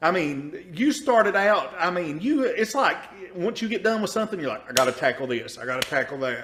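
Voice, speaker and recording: A man with an Eastern Kentucky accent speaks at a fairly quick pace in an animated tone, with high pitch and very wide pitch swings. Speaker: podcast host. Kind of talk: casual interview.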